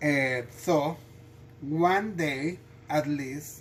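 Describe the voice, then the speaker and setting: The speaker has a non-native accent. The delivery is very slow. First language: not English. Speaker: home cooking video host. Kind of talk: cooking tutorial. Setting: home kitchen. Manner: halting, many fillers and restarts.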